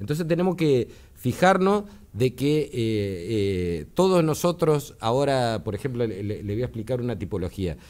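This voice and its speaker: The man's pitch swings very widely while he keeps a fairly slow pace. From Argentina. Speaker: electronics engineer, tech commentator; tech commentator. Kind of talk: explanatory interview on radio. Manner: hesitant, many filler words. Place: studio. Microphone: studio mic.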